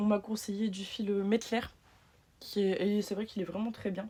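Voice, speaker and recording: With a northern French accent, a woman speaks in a monotone, flat intonation at a medium pitch and a moderate pace. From northern France. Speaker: patchwork maker and small business owner. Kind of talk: sewing machine review.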